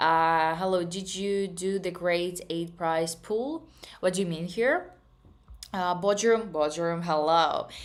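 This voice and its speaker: A woman with a slight Russian accent speaks very slowly, her intonation fairly even. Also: fairly low pitch for a woman. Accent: slight Russian accent in English, worked on. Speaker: trading streamer. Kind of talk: live stream chat. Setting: live stream. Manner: casual, with frequent hesitations.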